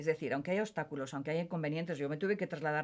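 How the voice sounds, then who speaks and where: Very deep, low female speech, the recording very clean and the background silent. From Spain, Basque Country (Bilbao). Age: 70s. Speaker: psychologist. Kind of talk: interview conversation.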